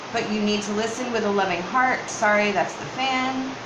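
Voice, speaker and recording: Amid noticeable background noise and audible room echo, a woman talks in a fairly high voice with ordinary pitch variation. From northern US. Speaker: tarot reader. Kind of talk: tarot reading.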